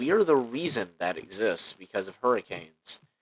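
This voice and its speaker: An American-accented man at a fairly slow pace. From US South. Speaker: content creator. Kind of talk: casual rant. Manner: halting, many fillers.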